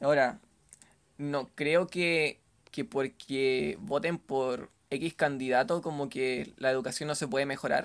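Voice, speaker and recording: A man talks at a very slow pace with a Chilean accent. His pitch sits fairly high. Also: ordinary pitch variation. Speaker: sociologist. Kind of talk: casual chat.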